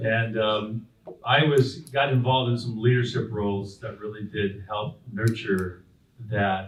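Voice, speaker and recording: Audible room echo surrounds a man with an American accent who sounds somewhat breathy. He talks at a fairly slow pace with fairly even intonation. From Southern California (Whittier, La Habra, Brea). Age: 60s. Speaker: pastor. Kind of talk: interview on stage. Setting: stage with audience at community breakfast. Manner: halting, many fillers and repeats.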